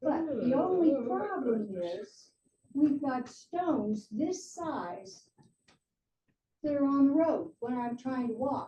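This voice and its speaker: A woman's high-pitched voice, dark and mellow in tone, with lively intonation at a very slow pace. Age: 80s+. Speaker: resident speaking at public comment. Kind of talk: public comment at township meeting. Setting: township trustee meeting.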